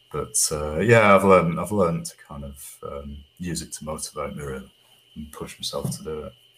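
A man with a Manchester accent speaks at a moderate pace, with big swings in loudness. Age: 50s. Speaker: singer-songwriter. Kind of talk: casual chat. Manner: halting.

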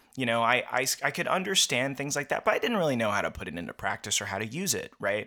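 Racing at a very fast pace with hardly any pauses, a man with a medium pitch, a bright, sharp tone and vocal fry sweeps through very wide pitch swings. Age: 30s. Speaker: filmmaker and musician. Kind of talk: casual chat.

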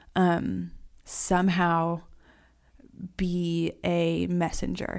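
A woman's fairly low voice, in an American accent, comes through a very clean recording with a silent background. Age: 20s. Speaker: artist. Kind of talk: interview conversation.

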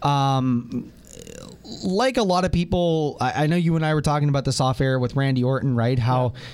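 A man speaks in an unremarkable speaking voice at a moderate pace, with very even loudness. His pitch is fairly high and varies in an ordinary way. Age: 20s. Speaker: wrestling fan guest. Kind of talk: casual review chat. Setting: radio studio.

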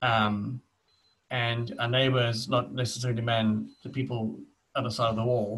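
A man with a South African accent, medium pitch, moderate pace, fairly even intonation and very even loudness. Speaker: podcast co-host. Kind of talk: casual chat. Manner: halting.

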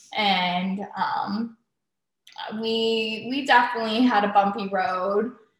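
This woman speaks at a very slow pace. Her pitch is fairly high and her intonation fairly even. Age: 20s. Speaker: host's daughter. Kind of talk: casual chat.

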